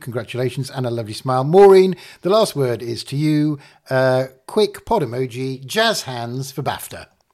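Recorded very cleanly over a silent background, a man with an unremarkable speaking voice uses lively intonation at medium pitch, his loudness swinging widely. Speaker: podcast host. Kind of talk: casual chat.

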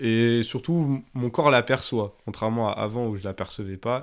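A man's plain, everyday voice at a medium pitch, with ordinary pitch variation and a moderate pace, on a very clean recording with a silent background. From France, Grenoble. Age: 20s. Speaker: former activist. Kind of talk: testimony. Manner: casual with many fillers.

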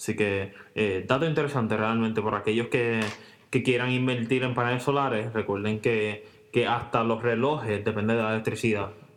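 A man at medium pitch and a moderate pace, his loudness very even, with audible room echo. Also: fairly even intonation. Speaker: podcast co-host. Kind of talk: casual chat. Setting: home recording, same room.

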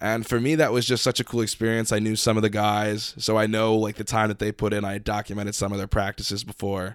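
A man speaks very fast with a fairly low pitch and hardly any pauses. His intonation is monotone and flat. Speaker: student podcast host. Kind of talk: casual chat.

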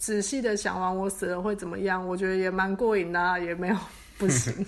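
A woman speaks in a normal speaking voice. Her medium pitch varies in an ordinary way. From Taiwan. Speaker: hypnotherapist. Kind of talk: interview.

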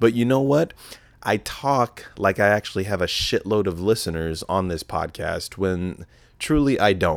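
A normal speaking voice with an American accent, lively intonation, a moderate pace, and a very clean recording against a silent background. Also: man, fairly low pitch for a man. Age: 20s. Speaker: podcast host. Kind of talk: casual solo podcast monologue. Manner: casual, profane, rambling; self-deprecating, joking.

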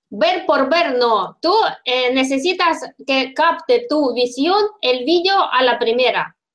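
A woman speaks very slowly with a Russian accent and a high pitch. Her intonation is lively while her loudness stays very even. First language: Russian (speaking Italian). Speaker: podcast host. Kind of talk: interview.

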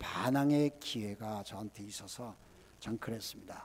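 A man speaks with a dark, mellow tone at a moderate pace. His intonation stays fairly even. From South Korea. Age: 70s. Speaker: missionary. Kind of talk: sermon. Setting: church.

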